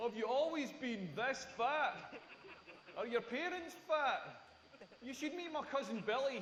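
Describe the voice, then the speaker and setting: A man's extremely high voice in a Scottish accent, lively in intonation, fairly slow with long, frequent pauses, with audible room echo and noticeable background noise. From rural Scotland. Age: 40s. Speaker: stand-up comedian. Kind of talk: stand-up. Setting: stage with audience. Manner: animated.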